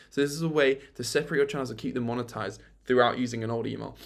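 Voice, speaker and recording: An animated tone from a man, very fast, with vocal fry and ordinary pitch variation. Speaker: YouTube creator. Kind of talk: tutorial.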